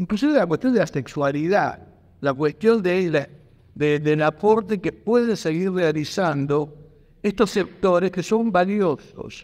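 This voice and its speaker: A man's high-pitched voice at a fairly slow pace, with ordinary pitch variation and a quiet background. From Argentina. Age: 50s. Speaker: history teacher speaking at a pensioners' rights debate. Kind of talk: public debate contribution. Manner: halting, frequent repetitions. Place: hall. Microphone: handheld.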